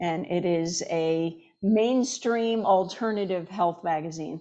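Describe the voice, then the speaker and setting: A woman speaks in a dark, mellow tone with lively intonation. The background is quiet. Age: 60s. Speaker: chiropractor and natural health doctor. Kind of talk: interview. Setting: podcast interview.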